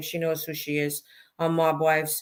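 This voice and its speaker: A woman with a fairly low pitch speaks in a Brooklyn accent. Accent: deep Brooklyn. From Brooklyn, New York. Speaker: mob wife and author. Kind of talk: interview.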